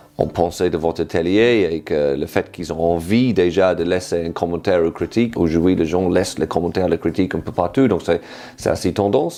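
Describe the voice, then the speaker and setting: A British-accented man's very deep, low voice with a dark, mellow tone. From Britain. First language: English (speaking French). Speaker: improv workshop leader. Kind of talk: interview testimony. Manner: halting, many fillers.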